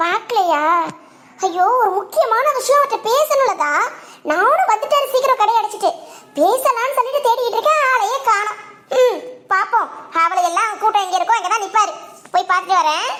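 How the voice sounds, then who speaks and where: A woman's cartoonish character voice at an extremely high pitch, with lively intonation, very even loudness and a moderate pace. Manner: needling and conspiratorial.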